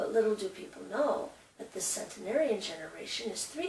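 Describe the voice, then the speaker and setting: An unremarkable speaking voice from a woman, fairly high in pitch, with lively intonation at a moderate pace. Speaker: show host. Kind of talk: documentary host intro.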